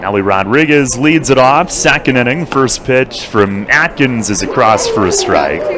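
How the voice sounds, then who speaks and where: A man's medium-pitched voice in an American accent, with hardly any pauses and music in the background. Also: lively intonation, moderate pace. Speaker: baseball play-by-play announcer. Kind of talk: live commentary.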